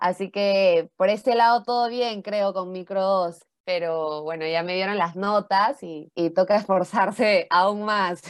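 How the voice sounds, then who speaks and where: A woman's normal speaking voice at medium pitch, fairly slow yet with hardly any pauses, on a very clean recording with a silent background. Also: fairly even intonation. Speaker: university student podcast co-host. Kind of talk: casual chat.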